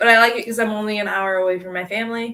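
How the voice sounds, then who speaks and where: A woman speaks with a Midwestern American accent. The recording is very clean, the background silent. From northern Illinois. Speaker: livestream co-host filling in. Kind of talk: casual livestream chat reading comments. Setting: live video stream. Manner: animated.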